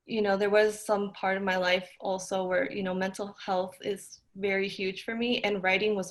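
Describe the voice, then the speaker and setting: In a Spanish accent, a woman talks at a moderate pace with a medium pitch and monotone, flat intonation. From US, Mexican heritage. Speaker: podcast host. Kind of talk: interview conversation.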